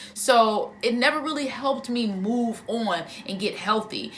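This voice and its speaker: The speaker's pitch varies in an ordinary way, and there is noticeable background noise. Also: woman. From Harvey, Illinois. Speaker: stand-up comedian and actress. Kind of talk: casual talk to camera.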